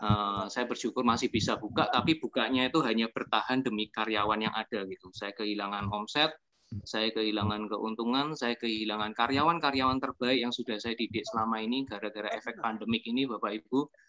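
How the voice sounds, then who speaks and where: With a Yogyakarta accent, a man talks at a fairly quick pace with hardly any pauses, using fairly even intonation and a bright, sharp tone in a dry, close sound with no echo. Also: medium pitch for a man. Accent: Javanese (Yogyakarta) accent, noticeable. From Yogyakarta, Java. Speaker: restaurant owner and network-marketing presenter. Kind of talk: testimonial presentation to an audience.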